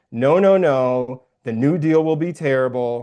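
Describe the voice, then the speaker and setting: A man speaks with an American accent. His medium-pitched voice has a dark, mellow tone. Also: quiet background. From Iowa, Waterloo. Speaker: political candidate. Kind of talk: casual interview. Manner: animated.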